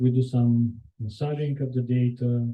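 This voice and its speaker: A man with a Bulgarian accent talks at a medium pitch in a somewhat breathy voice. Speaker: software engineer. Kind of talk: conference talk. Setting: meetup with live audience. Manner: hesitant, many fillers.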